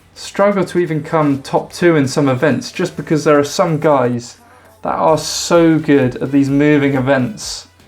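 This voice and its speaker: A man speaks at a fairly slow pace with music in the background. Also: fairly high pitch for a man, ordinary pitch variation. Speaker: strongman commentator, video creator. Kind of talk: monologue predictions video. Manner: loud.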